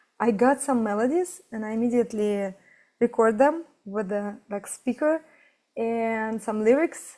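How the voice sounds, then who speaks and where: A woman's fairly high voice in a dark, mellow tone, with a non-native accent, ordinary pitch variation and a very clean recording over a silent background. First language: not English. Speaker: fashion designer and musician. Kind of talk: interview conversation. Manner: halting.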